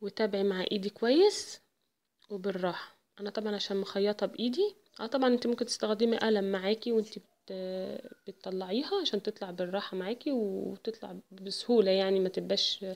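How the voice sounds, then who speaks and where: In an Egyptian accent, a woman speaks at a moderate pace. Her pitch is medium and her intonation fairly even. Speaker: embroidery and sewing tutor. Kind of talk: tutorial.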